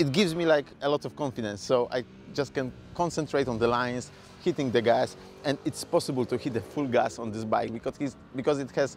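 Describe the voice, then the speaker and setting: With music behind him, a man talks at a medium pitch. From Poland. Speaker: motorcycle reviewer. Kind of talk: product review.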